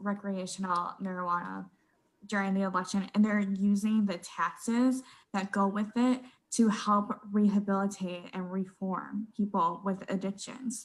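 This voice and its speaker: A somewhat breathy woman with an American accent, medium in pitch, at a fairly slow pace with fairly even intonation, in a very clean recording with a silent background. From southeastern Wisconsin. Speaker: magazine editor. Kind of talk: casual panel discussion.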